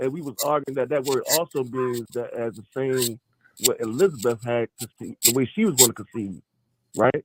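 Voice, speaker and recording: Speaking at a moderate pace, a man has a medium pitch, ordinary pitch variation and an animated tone. His loudness swings widely, and the sound is dry and close with no echo. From Baltimore, US. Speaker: podcast host. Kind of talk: casual debate about scripture.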